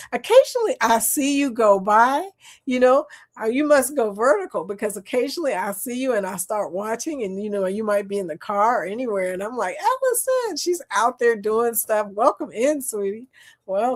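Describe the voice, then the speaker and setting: A woman with a Southern US accent speaks at a moderate pace and a fairly high pitch, her tone animated and her intonation lively. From US South. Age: 60s. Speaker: live stream chat host. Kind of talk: casual chat.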